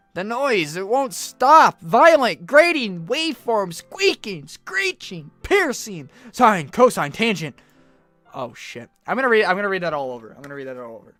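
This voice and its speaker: Music sounds in the background. The speech comes at a fairly slow pace. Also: long, frequent pauses. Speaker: gaming video creator. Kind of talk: reading game dialogue and poems aloud during gameplay.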